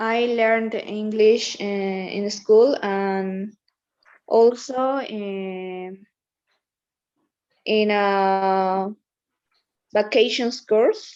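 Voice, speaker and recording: A woman with a Spanish accent, fairly high in pitch, at a very slow pace with long, frequent pauses and fairly even intonation. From Bolivia, Oruro. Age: 20s. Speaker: law student. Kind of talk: self-introduction in English class. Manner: halting.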